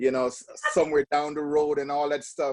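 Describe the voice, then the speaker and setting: A man speaks with a strong Jamaican accent, his voice pitched fairly high. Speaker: podcast guest. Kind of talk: casual interview.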